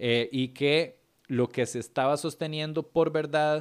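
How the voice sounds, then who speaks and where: Animated in tone, a man with a Costa Rican accent speaks at a fairly high pitch on a very clean recording with a silent background. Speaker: comedian and podcast host. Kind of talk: casual monologue analyzing comedy.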